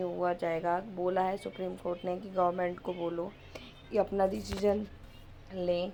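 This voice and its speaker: A woman's medium-pitched, monotone delivery at a fairly slow pace, with flat intonation. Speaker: school teacher vlogger. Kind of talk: casual vlog. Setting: walking outdoors to school.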